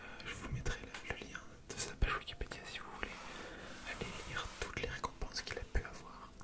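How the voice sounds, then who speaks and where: A man whispers at a fairly quick pace, stopping for long, frequent pauses. Noticeable background noise runs underneath. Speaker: ASMR creator. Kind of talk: ASMR whispered reading. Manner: whispered, soft-spoken.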